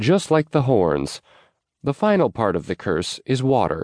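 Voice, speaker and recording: A man speaks at a very slow pace, his pitch swinging very widely and his voice showing vocal fry. The background is quiet. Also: dry, close sound with no echo. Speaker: audiobook narrator. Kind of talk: dramatic audiobook narration of a romance western, reading aloud with character voices.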